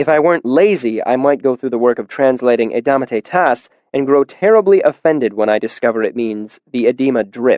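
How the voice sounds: A natural reading voice carries lively intonation.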